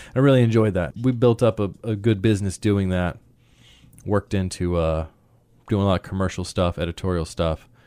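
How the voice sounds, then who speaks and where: In a very clean recording with a silent background, a man talks at a fairly quick pace with a fairly low pitch, a dark, mellow tone and a dry, close sound with no echo. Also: ordinary pitch variation. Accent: American. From US South, central North Carolina. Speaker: photographer. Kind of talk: interview.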